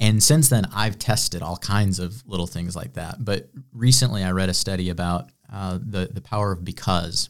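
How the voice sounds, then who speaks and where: A plain, everyday voice from a man with an American accent, fairly low in pitch, at a moderate pace, on a very clean recording with a silent background. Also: ordinary pitch variation. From Illinois, US Midwest. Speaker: entrepreneur and business coach. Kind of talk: interview conversation.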